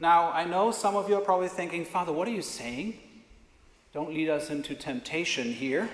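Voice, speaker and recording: Speaking with a non-native accent, a man talks fairly quickly in a high pitch with ordinary pitch variation, and audible room echo surrounds his voice. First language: not English. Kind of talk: sermon. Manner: conversational.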